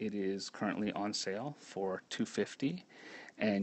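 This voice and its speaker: A soft-spoken man talks at a moderate pace. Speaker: knitting pattern designer. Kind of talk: live stream talk. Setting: live video stream at home. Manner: halting. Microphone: too quiet at first.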